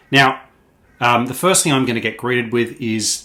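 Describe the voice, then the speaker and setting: A man with an Australian accent speaks at a moderate pace in a bright, sharp tone. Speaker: product trainer. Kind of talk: tutorial. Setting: office. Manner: frequent fillers (um, uh).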